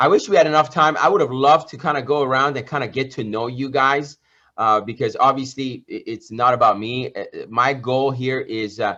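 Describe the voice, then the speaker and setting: Bright, sharp and animated, a man's medium-pitched voice at a fairly quick pace over a quiet background. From Iran. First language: Persian. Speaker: entrepreneur and business coach. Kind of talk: motivational talk.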